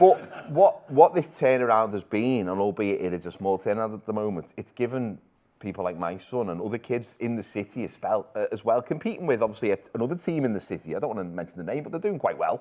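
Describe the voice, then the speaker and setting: With a Liverpool accent, a man at a medium pitch talks at a very fast pace with hardly any pauses, his tone dark and mellow and his intonation lively. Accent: Liverpool (Scouse). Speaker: football show presenter. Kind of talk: casual chat.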